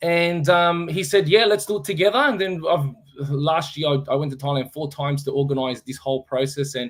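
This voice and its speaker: A man with an Australian accent speaks at a moderate pace in a fairly high, somewhat breathy voice. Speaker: former fighter and fight promoter. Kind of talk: casual interview on live stream. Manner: halting.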